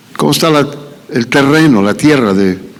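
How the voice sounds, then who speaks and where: A man's pitch swings very widely as he talks, with audible room echo and noticeable background noise. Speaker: pastor. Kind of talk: sermon. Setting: church. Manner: halting.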